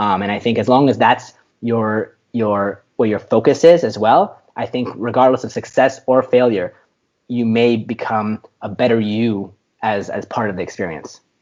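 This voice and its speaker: With ordinary pitch variation, the man's voice stays at a medium pitch. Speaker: tech startup founder. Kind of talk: interview conversation. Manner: fast.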